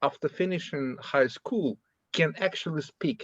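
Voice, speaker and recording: With a Russian accent and lively intonation, a man talks at a fairly high pitch in a dry, close sound with no echo. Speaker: workshop participant asking a question. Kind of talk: academic Q&A discussion. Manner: halting.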